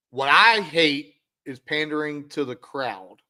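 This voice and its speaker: A man in a raised, projected voice, intense and bright and sharp in tone. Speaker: podcast host, athletic director. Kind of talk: casual chat. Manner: loud and intense.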